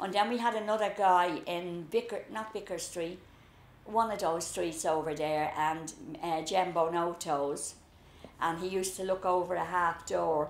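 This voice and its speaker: A woman talks at a fairly low pitch and a fairly slow pace. Her intonation is fairly even, and audible room echo surrounds the voice. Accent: Dublin. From Dublin, Ireland (the Liberties). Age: 70s. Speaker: storyteller recalling childhood. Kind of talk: casual reminiscing conversation.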